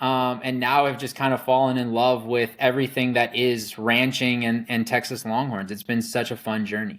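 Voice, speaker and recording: With hardly any pauses, a man with an American accent talks at a moderate pace and medium pitch, his intonation fairly even. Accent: slight Wisconsin accent, mostly hidden. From Wisconsin. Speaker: rancher. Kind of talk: podcast interview.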